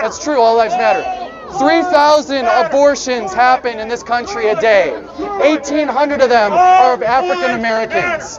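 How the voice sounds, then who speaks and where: Extremely high-pitched male voice at a moderate pace, with crowd noise in the background. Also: lively intonation. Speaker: street preacher. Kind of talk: street preaching debate. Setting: outdoors with a microphone.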